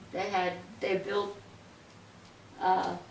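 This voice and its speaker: A woman speaking at a fairly slow pace, with audible room echo and noticeable background noise. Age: 80s+. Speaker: interviewee recalling the Depression. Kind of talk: casual interview. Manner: halting.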